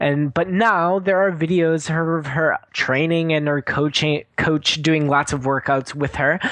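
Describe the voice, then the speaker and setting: Pitch variation is ordinary as this man talks. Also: quiet background. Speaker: podcast co-host. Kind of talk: casual chat.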